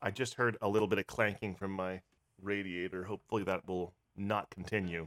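In an American accent, a man with a fairly low pitch talks at a fairly quick pace in a monotone, flat intonation, the sound dry and close with no echo. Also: very clean recording, silent background. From Pennsylvania. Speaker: podcast host and actor. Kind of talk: casual chat.

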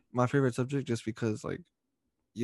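Recorded dry and close with no echo against a quiet background, a man with a Californian accent talks with ordinary pitch variation. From Stockton, California. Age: 20s. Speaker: wrestling podcast host. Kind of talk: casual chat.

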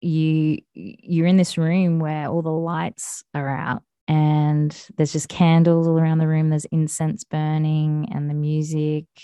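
In a dark, mellow tone with an Australian accent, the voice moves at a fairly slow pace with monotone, flat intonation and a dry, close sound with no echo. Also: woman, very deep, low pitch for a woman. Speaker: podcast host. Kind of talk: casual chat.

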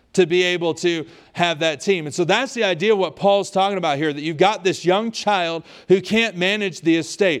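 The speaker talks at a fairly quick pace with ordinary pitch variation on a very clean recording with a silent background. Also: man, high pitch for a man. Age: 30s. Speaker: pastor. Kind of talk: sermon.

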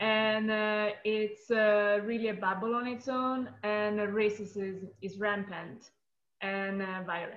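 Speaking very slowly in an Italian accent, a woman keeps a fairly high pitch and a fairly even intonation. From Italy. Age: 20s. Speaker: artist and activist. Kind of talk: interview.

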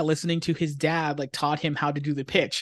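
A man talks at a fairly quick pace with an American accent, in an unremarkable speaking voice. His pitch is fairly high, and the background is quiet. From Pennsylvania, US. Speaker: comic book writer. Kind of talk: casual interview. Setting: video call.

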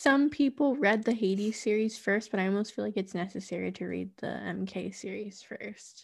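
A woman speaks at a medium pitch and a moderate pace, with ordinary pitch variation and vocal fry. She hardly pauses, and the very clean recording has a silent background. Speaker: podcast host. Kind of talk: casual chat.

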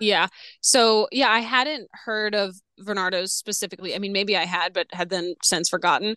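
A woman speaks in a bright, sharp tone with ordinary pitch variation. The background is quiet. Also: medium pitch for a woman, moderate pace, dry, close sound with no echo. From US South, New Orleans. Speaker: circus ringmaster and performer. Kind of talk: casual chat.

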